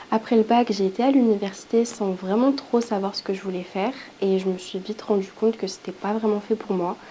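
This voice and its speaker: A woman talks at a fairly quick pace with a medium pitch. Her intonation is fairly even. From southern France (Montpellier), from Île-de-France. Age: 20s. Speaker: aspiring entrepreneur. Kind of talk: testimony. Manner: hesitant, many fillers.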